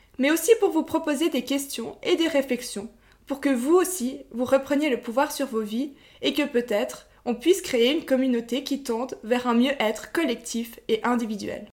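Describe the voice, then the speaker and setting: In a very clean recording with a silent background, a woman speaks at a moderate pace with a high pitch and ordinary pitch variation. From Switzerland, Vaud countryside. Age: 20s. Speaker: podcast co-host. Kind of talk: scripted monologue.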